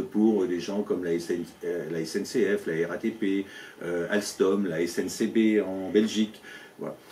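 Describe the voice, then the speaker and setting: A man speaks at a fairly slow pace in a fairly low voice. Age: 60s. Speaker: business owner and local election candidate. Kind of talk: interview. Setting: at his company premises. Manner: halting, many fillers and repetitions.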